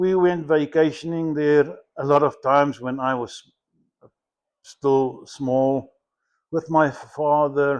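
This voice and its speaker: A man speaks very slowly in a flat monotone, his voice fairly high-pitched, over a quiet background. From South Africa. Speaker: war veteran. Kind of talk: interview answer.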